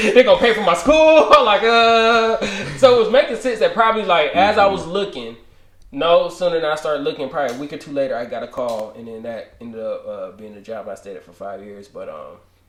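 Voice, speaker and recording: Over noticeable background noise, a man talks at a fairly quick pace. His loudness swings widely. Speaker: podcast host. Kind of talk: casual chat.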